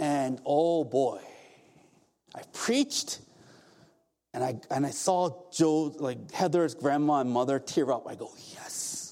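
A man speaks at a very slow pace with long, frequent pauses. His pitch is fairly high and his tone dark and mellow. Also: ordinary pitch variation. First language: not English. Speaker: pastor. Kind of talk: sermon. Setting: church. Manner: animated.

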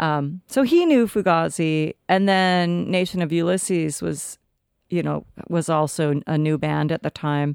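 A woman with an American accent talks in a normal speaking voice, fairly low in pitch with ordinary pitch variation, at a fairly slow pace, and the sound is dry and close with no echo. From Olympia, Washington (US Pacific Northwest). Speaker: punk musician and singer. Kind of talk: casual interview chat.

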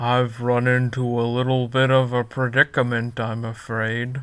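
A put-on character voice is used here. Its intonation is monotone and flat. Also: man, medium pitch for a man, moderate pace. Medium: actual play. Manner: friendly, slow and simple, easily amused.

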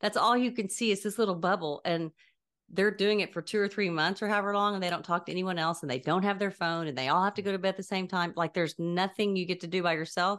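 Very fast and with fairly even intonation, a woman at medium pitch talks over a quiet background. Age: 60s. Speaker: podcast co-host. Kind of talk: casual chat.

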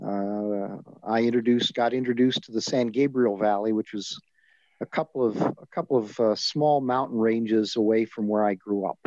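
A plain, everyday voice speaks with an American accent at a moderate pace, its intonation fairly even. The sound is dry and close with no echo, over a quiet background. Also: man, medium pitch for a man. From Southern California. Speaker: retired advocacy leader, former organization president. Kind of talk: interview.

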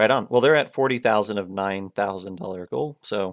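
A man with an unremarkable speaking voice talks at a moderate pace and fairly low pitch, the sound dry and close with no echo over a quiet background. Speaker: podcast host. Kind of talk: casual chat.

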